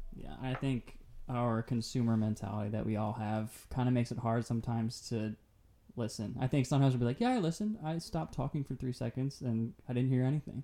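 Speaking at a very fast pace, a man uses a medium pitch, a dark, mellow tone and fairly even intonation. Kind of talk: casual faith-based podcast conversation.

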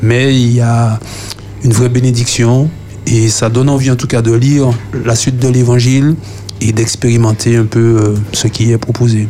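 Over music in the background, a man talks fairly slowly in a medium-pitched, flat monotone, pausing long and often while his loudness stays very even. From Martinique, Fort-de-France. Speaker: youth panelist. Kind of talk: radio panel discussion.

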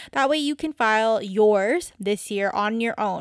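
A woman's fairly high-pitched voice, a normal speaking voice with ordinary pitch variation, in a very clean recording with a silent background and a dry, close sound with no echo. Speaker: podcast host. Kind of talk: casual solo talk. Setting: home recording at a microphone.

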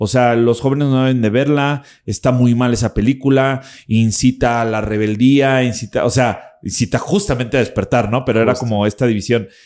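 A man speaks at a fairly quick pace with a Mexican accent and fairly even intonation, on a very clean recording with a silent background. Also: medium pitch for a man. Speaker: podcast host and spiritual teacher. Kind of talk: interview conversation. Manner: casual, slangy.

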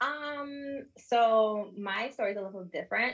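Here a woman uses an ordinary speaking voice with ordinary pitch variation. Her pace is fairly slow. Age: 20s. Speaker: bookkeeper and accountant. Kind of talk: panel discussion. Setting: video call.

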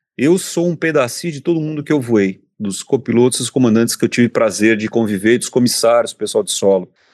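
Talking at a fairly quick pace with hardly any pauses, a man with an ordinary speaking voice uses lively intonation at a medium pitch. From Brazil, São Paulo. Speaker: airline captain. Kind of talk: casual interview chat.

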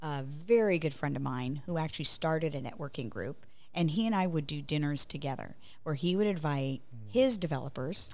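Lively intonation carries the speech along at a fairly quick pace, with audible room echo. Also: woman, very deep, low pitch for a woman. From Hawaii, Honolulu. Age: 50s. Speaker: architecture business developer. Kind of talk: casual interview.

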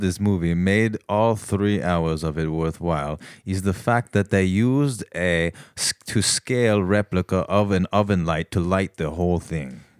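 A man with an American accent, an ordinary speaking voice, fairly low in pitch at a moderate pace, in a very clean recording with a silent background and a dry, close sound with no echo. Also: lively intonation. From New York, Westchester. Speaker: comedian. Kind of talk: comedy sketch; casual chat.

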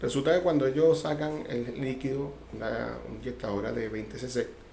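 Ordinary pitch variation in a Caracas accent, with audible room echo. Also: man. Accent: Venezuelan Spanish (Caracas). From Venezuela, Caracas. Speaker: churchgoer giving testimony. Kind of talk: testimony. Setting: radio studio.

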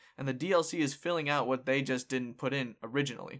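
On a very clean recording with a silent background, a man speaks in a plain, everyday voice, fairly high in pitch, at a moderate pace with ordinary pitch variation. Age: 20s. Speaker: podcast host. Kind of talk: casual chat.

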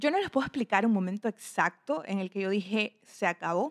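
A normal speaking voice from a woman at medium pitch, moderate pace and ordinary pitch variation, with a dry, close sound and no echo. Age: 20s. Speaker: podcast host. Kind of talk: personal monologue. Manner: casual.

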